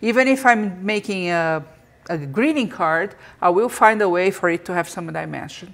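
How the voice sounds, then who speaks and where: Lively intonation marks this woman's normal speaking voice. Her pitch is medium and her pace moderate. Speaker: podcast host. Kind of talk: live interactive interview podcast. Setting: live video stream.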